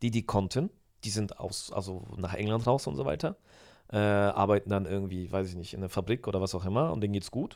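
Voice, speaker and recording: A man's fairly low, fairly quick a normal speaking voice, with ordinary pitch variation, on a very clean recording with a silent background. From Germany, moved from Poland as a small child. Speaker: podcast guest, host's brother-in-law. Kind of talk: casual chat.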